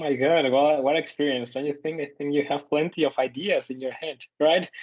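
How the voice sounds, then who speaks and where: A man with a Mexican accent speaks at a fairly quick pace in a fairly high, monotone, flat voice. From Mexico. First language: Spanish. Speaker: podcast co-host, student and teacher. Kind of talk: casual chat. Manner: halting, many fillers.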